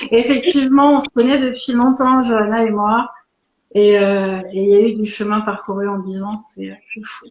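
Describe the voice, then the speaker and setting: In an unremarkable speaking voice, a woman talks at a fairly slow pace with fairly high pitch, ordinary pitch variation and big swings in loudness. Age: 40s. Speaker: Reiki teacher and Akashic records reader. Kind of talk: live interview. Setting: Instagram live.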